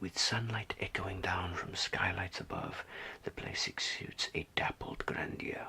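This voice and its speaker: A man is whispering. There is noticeable background noise. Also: fairly slow pace. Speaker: ASMR artist. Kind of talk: ASMR role-play reading aloud from a guidebook. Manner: whispered, soft, slow, hesitant.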